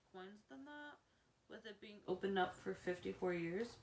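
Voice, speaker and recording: A woman at a medium pitch and a fairly slow pace. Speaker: theme park vlogger. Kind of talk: casual list video. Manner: halting, frequent self-corrections.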